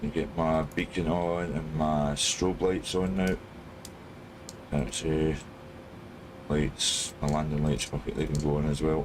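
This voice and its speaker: Speaking at a fairly slow pace with long, frequent pauses, a man with a Scottish accent keeps a very deep, low pitch, fairly even intonation and very even loudness. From Scotland. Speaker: flight sim streamer. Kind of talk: live stream commentary. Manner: casual.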